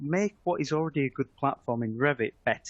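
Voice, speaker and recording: Dry and close with no echo, a man with a British accent talks at a moderate pace. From UK. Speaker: software product manager. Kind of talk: webinar presentation. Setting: online webinar. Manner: hesitant, with frequent fillers.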